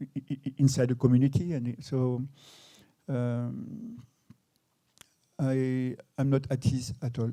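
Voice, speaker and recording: With a French accent, a man speaks at a medium pitch in a dark, mellow tone. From France. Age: 60s. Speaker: photographer. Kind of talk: public talk interview. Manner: halting, many repetitions.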